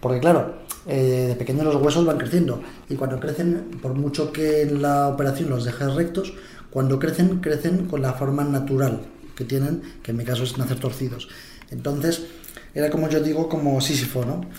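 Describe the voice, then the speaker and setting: There is audible room echo as a man speaks. His pitch is fairly high and his pace moderate. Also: fairly even intonation. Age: 30s. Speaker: journalist. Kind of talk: interview.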